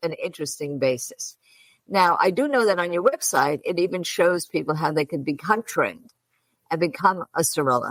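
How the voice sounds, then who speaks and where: A woman's fairly low voice with a Brooklyn accent, lively intonation and a moderate pace, in a dry, close sound with no echo. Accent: Brooklyn, New York. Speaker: interview host.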